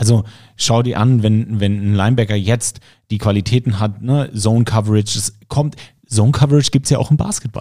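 In a very clean recording with a silent background, a man speaks at a fairly low pitch with a dark, mellow tone. His pace is fairly quick and his intonation fairly even. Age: 30s. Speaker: podcast host and football commentator. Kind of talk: casual interview.

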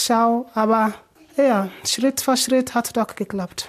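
A woman's fairly high voice at a very slow pace. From Sierra Leone. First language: not German; learned it in last four years (speaking German). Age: 20s. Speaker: refugee and nursing trainee. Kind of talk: interview. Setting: in her living room at home.

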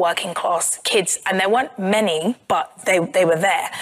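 A woman speaks at a medium pitch with ordinary pitch variation, in a South London accent. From South London, England. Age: 30s. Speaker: journalist and author. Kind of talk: live podcast interview.

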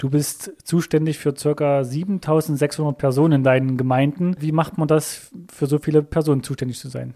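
A man's dark, mellow tone, fairly high in pitch, at a moderate pace with hardly any pauses and fairly even intonation. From Thuringia. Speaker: podcast host. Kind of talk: interview. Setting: studio.

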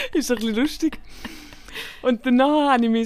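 Recorded very cleanly against a silent background, a woman speaks with a Swiss accent. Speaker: podcast co-host, comedian. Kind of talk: casual chat.

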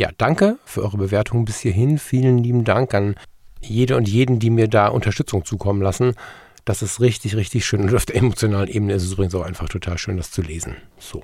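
The voice is somewhat breathy, with a dark, mellow tone. It moves at a very fast pace with ordinary pitch variation. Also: man, fairly low pitch for a man, very clean recording, silent background. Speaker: podcast host. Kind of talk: casual monologue.

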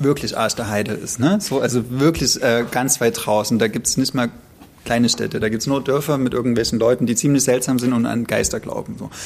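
A man speaks in a normal speaking voice at a fairly quick pace. His pitch variation is ordinary. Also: medium pitch for a man. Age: 30s. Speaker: podcast co-host. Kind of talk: casual chat about books.

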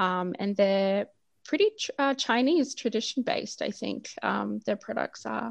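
A woman talks at a fairly slow pace, with a dry, close sound with no echo and a quiet background. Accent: Australian. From Australia. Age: 30s. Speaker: doula and postpartum food business founder. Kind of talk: interview chat.

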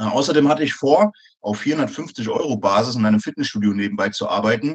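Here is a man with an ordinary speaking voice and a medium pitch. He talks at a moderate pace with ordinary pitch variation. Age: 30s. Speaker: soldier and personal trainer. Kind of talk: interview.

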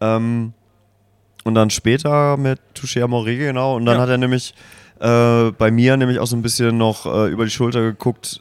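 A man talks at a moderate pace in a medium pitch with monotone, flat intonation. The recording is very clean, with a silent background. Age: 30s. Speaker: music podcast host. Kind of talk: casual chat. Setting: at a music festival.

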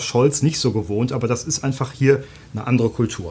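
A man of medium pitch with an unremarkable speaking voice, fairly even intonation and a fairly quick pace. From Germany. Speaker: newspaper journalist. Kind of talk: podcast interview. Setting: studio.

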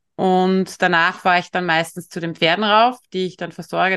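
A woman with a plain, everyday voice speaks at a moderate pace. Her intonation is fairly even, and the background is quiet. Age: 50s. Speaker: veterinarian and equine-assisted coach. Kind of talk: interview.

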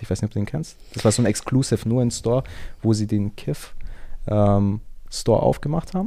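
On a very clean recording with a silent background, a man speaks at medium pitch and a moderate pace in a dark, mellow tone. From Germany, Augsburg (Bavarian Swabia). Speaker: fashion enthusiast. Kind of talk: casual chat.

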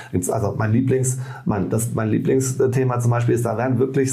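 Recorded with noticeable background noise and audible room echo, a man talks at a medium pitch with ordinary pitch variation. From Rhineland, Bonn. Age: 40s. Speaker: trade union leader. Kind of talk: casual interview. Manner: halting, many restarts.

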